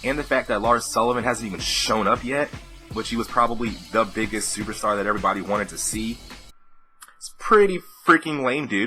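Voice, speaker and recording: A man speaks at a medium pitch in an upbeat tone, with ordinary pitch variation, big swings in loudness, and music playing in the background. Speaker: wrestling commentator / YouTuber. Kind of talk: casual talk to camera. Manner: casual, upbeat.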